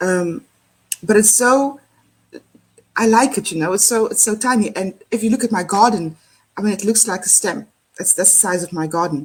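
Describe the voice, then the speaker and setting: The voice is somewhat breathy with a South African accent and ordinary pitch variation. It moves at a moderate pace with long, frequent pauses. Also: woman, medium pitch for a woman. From South Africa, Cape Town area. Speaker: empowerment speaker. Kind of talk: casual chat.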